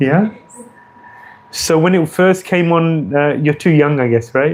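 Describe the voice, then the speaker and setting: A man's fairly high voice with a British accent and ordinary pitch variation, set against noticeable background noise. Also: fairly slow pace, very even loudness. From England, London. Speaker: visiting spiritual teacher. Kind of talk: religious talk.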